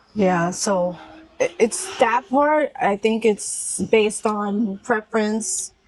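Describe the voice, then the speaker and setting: At a very slow pace, a woman with a fairly high pitch and ordinary pitch variation speaks over noticeable background noise. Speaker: travel vlogger. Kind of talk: casual chat.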